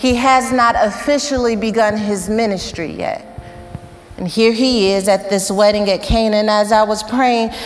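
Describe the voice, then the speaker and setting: A woman's moderate pace and ordinary pitch variation over faint background music. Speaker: preacher. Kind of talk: sermon. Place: church. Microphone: lapel.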